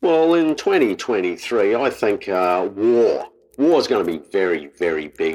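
Here a man talks with an Australian accent. His pace is fairly slow. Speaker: comedy podcast host. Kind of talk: casual comedic banter.

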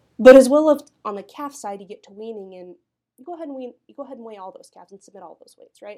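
A woman with an American accent, a dark, mellow tone, lively intonation and a very fast pace. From Kansas (Southeast). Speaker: cattle breed association director. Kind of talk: interview.

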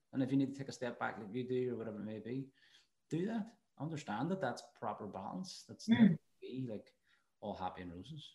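Very fast and somewhat breathy, a man talks at a medium pitch in a dark, mellow tone, with very wide pitch swings. Big swings in loudness come between long, frequent pauses. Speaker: podcast host. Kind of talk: casual interview.

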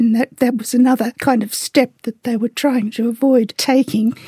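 A woman with an Australian accent speaks in a high pitch with a dark, mellow tone. Her intonation is fairly even, and the sound is dry and close with no echo. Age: 80s+. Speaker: activist. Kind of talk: interview.

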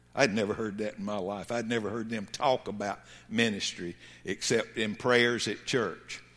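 With a Southern US accent, a man speaks at a moderate pace in a fairly low pitch, his intonation fairly even. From US South. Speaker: pastor. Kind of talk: sermon. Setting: church. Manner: halting.

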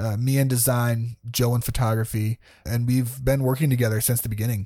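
Here is a man with a normal speaking voice. He talks at a moderate pace with ordinary pitch variation. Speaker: podcast host. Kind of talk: casual conversation.

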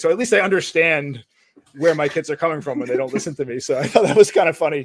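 At a very fast pace, a man speaks in a fairly high pitch with ordinary pitch variation. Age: 40s. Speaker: podcast co-host. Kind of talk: casual chat.

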